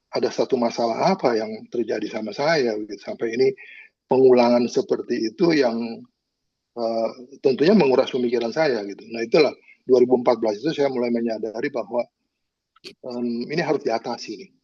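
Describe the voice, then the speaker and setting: In a dark, mellow tone, a man of medium pitch talks at a fairly quick pace, with ordinary pitch variation and big swings in loudness. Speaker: caregiver of a family member. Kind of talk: personal testimony in a panel discussion. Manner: halting, many filler words.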